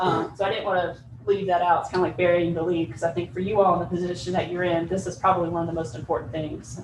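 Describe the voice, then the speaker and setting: A woman with a fairly low pitch talks very fast over noticeable background noise and audible room echo. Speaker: planning consultant. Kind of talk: presentation to county board.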